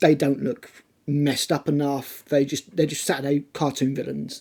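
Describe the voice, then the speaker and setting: A man with a British accent, a fairly high pitch, a dark, mellow tone and a moderate pace. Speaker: tabletop wargaming YouTuber. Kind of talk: casual talk to camera.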